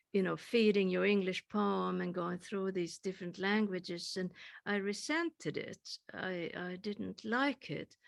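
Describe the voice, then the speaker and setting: A woman speaks with a Swedish accent. Her pace is fairly slow. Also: medium pitch for a woman, ordinary pitch variation, dry, close sound with no echo. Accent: Swedish accent, kept after thirty years. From Sweden. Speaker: poet. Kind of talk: panel discussion.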